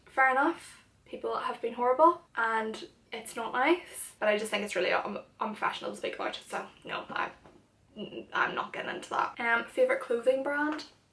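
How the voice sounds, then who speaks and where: A woman with a high voice and a Northern Irish accent, at a moderate pace with ordinary pitch variation. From Northern Ireland. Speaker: YouTuber and makeup artist. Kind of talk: casual chat. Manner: animated.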